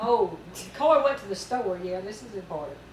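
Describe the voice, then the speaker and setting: Spoken with a Southern US accent, the clip carries audible room echo and noticeable background noise. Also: woman. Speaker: mother telling family memories. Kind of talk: reminiscing storytelling. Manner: folksy, halting with fillers.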